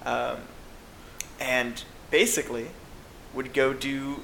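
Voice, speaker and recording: The clip has noticeable background noise and audible room echo. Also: man. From US South. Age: 20s. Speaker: astrophysics student. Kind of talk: interview. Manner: hesitant, many fillers.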